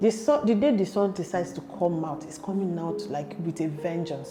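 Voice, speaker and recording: At a moderate pace, a woman speaks with fairly low pitch and ordinary pitch variation. Background noise is noticeable. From Nigeria. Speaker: YouTuber. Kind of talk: casual vlog advice. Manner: chatty, conversational.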